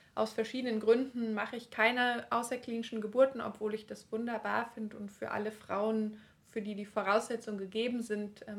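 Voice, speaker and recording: A woman talks at a moderate pace with a fairly high pitch. Her intonation stays monotone and flat while her loudness swings widely. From eastern Germany (Leipzig). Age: 30s. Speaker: midwife. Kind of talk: casual interview.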